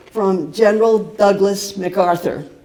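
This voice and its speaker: Noticeable background noise and audible room echo surround a woman who speaks at a fairly slow pace with an American accent and a medium pitch. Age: 80s+. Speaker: peace activist. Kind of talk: talk at a seminar. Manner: halting, many fillers.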